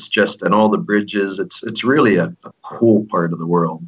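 An American man with a fairly low pitch speaks at a moderate pace in an unremarkable speaking voice. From eastern Pennsylvania, US. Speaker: expat businessman. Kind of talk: interview.

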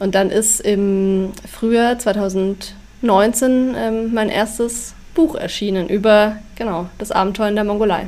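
Very slow pace and fairly even intonation from a female speaker with a fairly high pitch. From Bavaria, Upper Bavaria (Schongau near Allgäu). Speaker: author and travel blogger. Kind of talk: casual interview.

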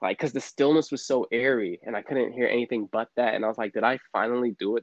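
Here a man speaks at a fairly quick pace, with a medium pitch and ordinary pitch variation. He has an unremarkable speaking voice. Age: 30s. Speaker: podcast guest sharing spiritual journey. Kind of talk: casual interview, personal storytelling.

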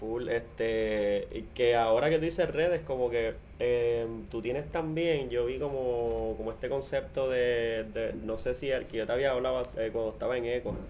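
A man talks with a Puerto Rican accent and ordinary pitch variation. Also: medium pitch for a man, moderate pace. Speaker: podcast host. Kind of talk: casual interview; sponsor announcements. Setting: studio.

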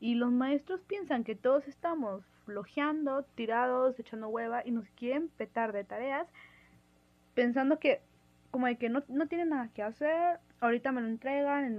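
Ordinary pitch variation and a moderate pace in a woman's high voice. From Mexico. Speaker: university student, listener. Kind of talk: voice message.

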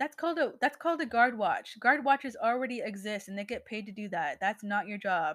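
A woman speaks at a fairly quick pace in a fairly high voice with lively intonation. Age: 20s. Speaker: solo podcaster. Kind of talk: casual monologue. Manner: halting, many fillers and restarts.

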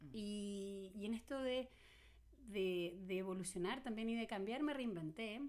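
A woman talks at a fairly slow pace with ordinary pitch variation. Noticeable background noise is present. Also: medium pitch for a woman. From Chile. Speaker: psychologist. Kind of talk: casual chat.

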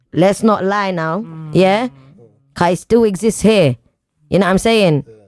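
A woman with a London accent speaks with ordinary pitch variation. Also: medium pitch for a woman, moderate pace. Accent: London multicultural English. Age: 20s. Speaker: podcast co-host. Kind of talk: casual chat. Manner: animated.

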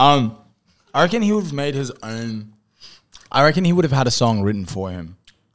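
With an Australian accent, a man speaks at a medium pitch and a fairly quick pace, taking long, frequent pauses. His pitch swings are very wide. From regional Queensland, Australia. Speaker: musician. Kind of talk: casual chat.

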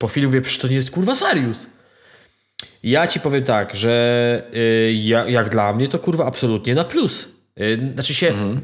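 A man with a plain, everyday voice at a medium pitch. He talks at a moderate pace, his loudness very even throughout. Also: ordinary pitch variation. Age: 30s. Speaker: podcast co-host. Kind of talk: casual chat. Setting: at home.

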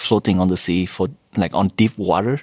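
A man speaks with a Vietnamese accent in a very clean recording with a silent background. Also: dry, close sound with no echo. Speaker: PhD student, team leader. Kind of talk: interview. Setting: recording in Sweden.

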